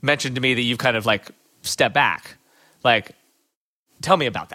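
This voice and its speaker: At a very fast pace, a man talks at medium pitch in a bright, sharp tone with fairly even intonation. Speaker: competitive runner. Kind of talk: interview conversation.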